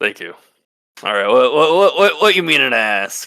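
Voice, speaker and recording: A man puts on a raspy character voice, fairly high in pitch with very wide pitch swings. He speaks at a moderate pace. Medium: actual play. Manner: nervous, stammering.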